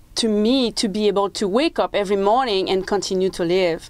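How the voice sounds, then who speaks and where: A woman with a French-Canadian accent, medium in pitch, with ordinary pitch variation. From Quebec, small French-speaking town. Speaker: motivational speaker, former motorcycle racer. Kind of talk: TV interview.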